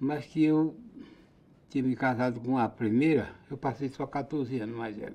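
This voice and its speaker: In a quiet background, a man with a dark, mellow tone speaks at a medium pitch and a moderate pace, his intonation lively. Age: 80s+. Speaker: farmer. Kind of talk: casual interview testimony. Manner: halting, with restarts.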